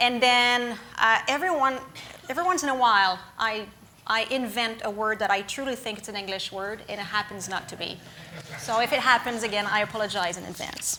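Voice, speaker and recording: A woman with a French accent, fairly high-pitched with ordinary variation, at a fairly quick pace amid audible room echo and noticeable background noise. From Quebec, small town of Lac-Mégantic. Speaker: guest lecturer, former emergency management official. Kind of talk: lecture. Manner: somewhat rushed; hesitant, many fillers.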